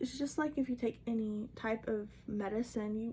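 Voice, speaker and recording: A woman's voice sounds somewhat breathy, with a dark, mellow tone. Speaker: herbalist and homesteader. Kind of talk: casual talk to camera. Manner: stuttering, fumbling over words.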